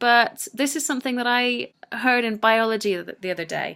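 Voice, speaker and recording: Recorded very cleanly over a silent background, a woman with a British accent speaks at a fairly high pitch with ordinary pitch variation. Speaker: English language teacher. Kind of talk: educational screencast tutorial. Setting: screencast recording.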